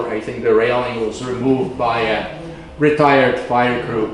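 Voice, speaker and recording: A man talks with a non-native accent. Noticeable background noise and audible room echo fill the recording. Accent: foreign. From communist-era Eastern Europe. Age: 70s. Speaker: guest speaker, backpacker and trail advocate. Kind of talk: presentation to audience. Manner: halting, many fillers.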